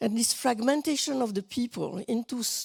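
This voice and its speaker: A woman's dark, mellow voice with a non-native accent and ordinary pitch variation, recorded dry and close with no echo, very clean against a silent background. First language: not English. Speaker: panelist, activist. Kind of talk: panel talk. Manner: halting, searching for words.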